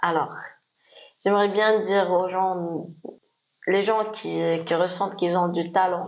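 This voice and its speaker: Against audible room echo, a woman speaks at a medium pitch and a very slow pace, with monotone, flat intonation, very even loudness and long, frequent pauses. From Morocco. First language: Moroccan Arabic (Darija) (speaking French). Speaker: DJ. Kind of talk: interview. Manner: hesitant.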